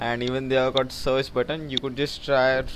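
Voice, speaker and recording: A man's medium-pitched voice with a non-native accent and monotone, flat intonation. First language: not English. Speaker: tech YouTuber. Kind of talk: tutorial. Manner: halting.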